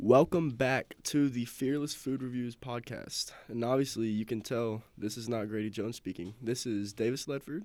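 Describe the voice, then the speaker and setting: A man with a Southern US accent talks at a medium pitch and a moderate pace, with ordinary pitch variation. The recording is very clean, with a silent background. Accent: Southern US (Georgia). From US South, south Georgia (Thomasville). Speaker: student podcast host. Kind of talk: casual chat.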